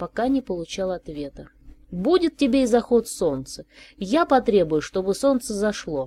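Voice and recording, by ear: Lively intonation marks the clip as someone is reading aloud in a natural voice.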